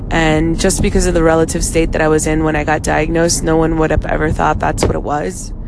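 Over noticeable background noise and audible room echo, a woman in a South Florida accent talks very fast with hardly any pauses, very deep, low pitch, monotone, flat intonation and very even loudness. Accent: American, South Florida. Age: 30s. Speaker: vlogger, cancer survivor. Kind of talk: casual monologue. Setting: in a car.

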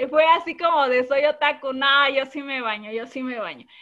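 A woman with a high pitch projects her raised voice at a fairly slow pace. Her intonation is lively. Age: 30s. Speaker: anime fan guest. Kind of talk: casual chat.

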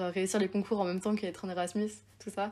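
A woman talks at a moderate pace in a medium pitch. Her intonation is flat and monotone. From Haute-Savoie, France (Évian). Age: 20s. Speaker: university student and podcaster. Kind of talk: casual chat.

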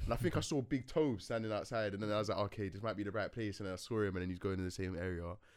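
In a very clean recording with a silent background, a man with a London accent speaks at a very fast pace with hardly any pauses, a fairly low pitch and ordinary pitch variation. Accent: London English (multicultural London). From West London. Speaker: music engineer and producer. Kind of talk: casual chat. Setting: studio.

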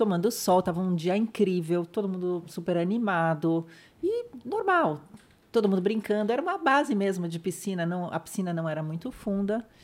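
This woman has a plain, everyday voice. Her pitch variation is ordinary. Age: 50s. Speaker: spinal injury survivor sharing her story. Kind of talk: interview testimony.

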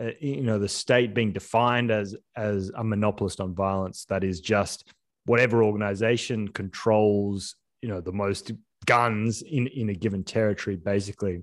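A man speaks with an Australian accent. His pitch sits fairly low and his intonation stays fairly even. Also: moderate pace. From Australia, Sydney. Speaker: filmmaker and entrepreneur. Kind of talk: casual interview. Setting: remote call. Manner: halting, many restarts.

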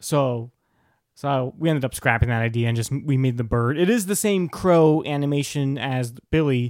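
At a moderate pace, a man speaks in an ordinary speaking voice with a fairly high pitch. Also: ordinary pitch variation, very clean recording, silent background. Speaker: podcast co-host. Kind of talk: casual banter, comedic chat. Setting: recording at home with a monitor.

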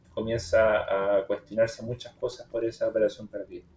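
Music plays in the background as a man speaks. His pitch is medium and his intonation fairly even. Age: 20s. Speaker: podcast host on trading and personal growth. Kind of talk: casual chat.

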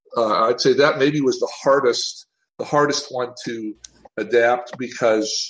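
Speaking at a moderate pace, a fairly high-pitched man with an American accent has an ordinary speaking voice. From US South, Tennessee. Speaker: TV animation writer and show creator. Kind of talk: interview.

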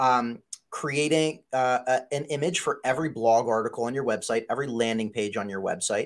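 Here a man has an ordinary speaking voice, medium in pitch with ordinary pitch variation. He talks at a moderate pace in a very clean recording with a silent background. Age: 30s. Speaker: digital marketing agency CEO. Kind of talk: interview.

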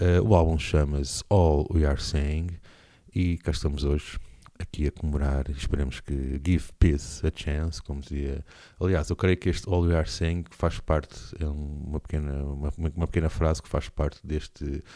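A man with a very deep, low pitch, a dark, mellow tone and fairly even intonation, at a moderate pace. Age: 40s. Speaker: radio host and musician. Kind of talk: radio show presenting. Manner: hesitant, many fillers.

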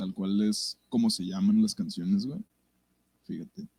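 A man with a dark, mellow tone speaks in very wide pitch swings, the sound dry and close with no echo. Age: 20s. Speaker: musician. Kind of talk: casual chat. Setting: live stream.

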